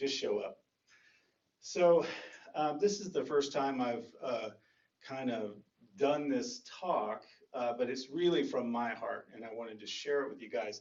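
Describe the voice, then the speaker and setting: Speaking with a Texan accent, a man has a fairly high pitch and lively intonation. His pace is fairly slow. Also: big swings in loudness. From North Texas. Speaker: dharma talk speaker and chant leader. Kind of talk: dharma talk. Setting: meditation center with audience. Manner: casual.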